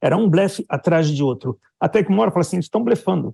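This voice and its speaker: Against a quiet background with a dry, close sound and no echo, a man talks at a fairly quick pace with a dark, mellow tone, fairly high pitch and ordinary pitch variation. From Brazil. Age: 60s. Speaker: Brazilian expat commentator on the Israel war. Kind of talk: news interview.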